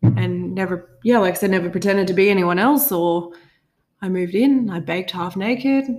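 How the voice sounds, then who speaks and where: This woman has an ordinary speaking voice at a medium pitch and talks at a fairly quick pace. Her pitch variation is ordinary. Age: 20s. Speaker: podcast co-host. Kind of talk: casual chat.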